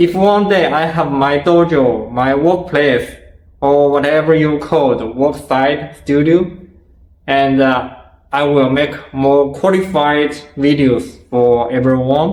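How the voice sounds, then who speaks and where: In a room with audible echo, a man speaks very slowly with ordinary pitch variation. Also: fairly high pitch for a man. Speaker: martial arts video creator. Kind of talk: Q&A interview. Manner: halting.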